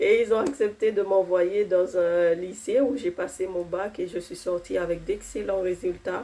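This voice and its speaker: With hardly any pauses, a woman speaks in a dark, mellow tone with ordinary pitch variation. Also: medium pitch for a woman, fairly slow pace. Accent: non-native. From outside France, arrived at fifteen. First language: not French (speaking French). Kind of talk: testimony. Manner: hesitant, many fillers.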